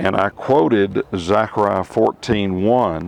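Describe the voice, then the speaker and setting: A man's fairly low voice with ordinary pitch variation over noticeable background noise. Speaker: Bible teacher. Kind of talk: personal testimony and Bible teaching to camera. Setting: outdoors. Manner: hesitant, conversational.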